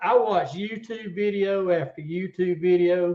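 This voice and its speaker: In a Southern US accent, a man speaks at a high pitch. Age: 60s. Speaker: tournament catfish angler. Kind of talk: casual interview chat.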